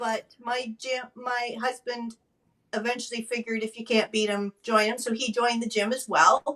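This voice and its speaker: At a moderate speed, a woman speaks in a plain, everyday voice with fairly even intonation. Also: fairly high pitch for a woman. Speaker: stroke advocate and former nurse. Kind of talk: interview testimony.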